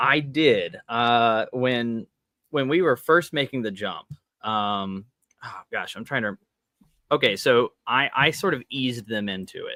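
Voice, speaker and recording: A man with an unremarkable speaking voice talks fairly slowly at medium pitch, his pitch varying in an ordinary way and his loudness swinging widely. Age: 20s. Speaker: tabletop game designer. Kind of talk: interview.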